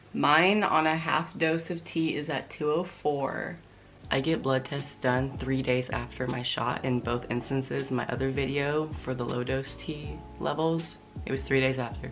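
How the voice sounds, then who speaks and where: A man speaks at a fairly slow pace with a medium pitch and ordinary pitch variation. Music plays in the background. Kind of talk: casual talk to camera.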